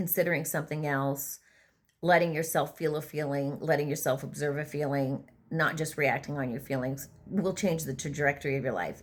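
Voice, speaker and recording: This woman's pitch is very deep and low, her intonation fairly even. The recording is very clean, with a silent background. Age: 60s. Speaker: vlogger and former prison treatment provider. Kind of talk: casual monologue. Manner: halting.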